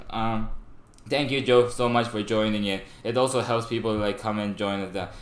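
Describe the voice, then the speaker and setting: Room echo is audible and background noise is noticeable. Through it, a man talks fairly slowly. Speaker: streamer. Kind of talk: casual live stream chat. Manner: stuttering, halting.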